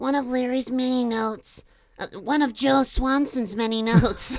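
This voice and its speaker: Using a put-on character voice, a woman speaks with a high pitch. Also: moderate pace. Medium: read story.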